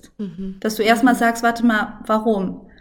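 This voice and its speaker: Speaking at a moderate pace, a woman has a normal speaking voice with a fairly high pitch. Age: 30s. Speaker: mother and Instagram content creator. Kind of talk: casual interview.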